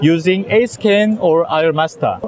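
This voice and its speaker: A man with a Korean accent, high-pitched with ordinary pitch variation, over noticeable background noise. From South Korea. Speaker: eye surgeon. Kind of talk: lecture. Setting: conference booth with audience. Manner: halting.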